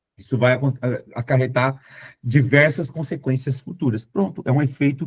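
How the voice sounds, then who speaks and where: Here a man talks at a moderate pace. His voice is somewhat breathy. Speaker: Portuguese teacher for exam prep. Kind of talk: lecture. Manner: animated.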